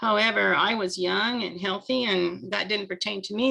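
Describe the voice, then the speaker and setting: Speaking at a moderate pace, a woman has a medium pitch, vocal fry, ordinary pitch variation and a bright, sharp tone. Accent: American. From US Midwest, Nebraska. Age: 70s. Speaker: network marketer, retired medical technologist. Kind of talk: personal testimony.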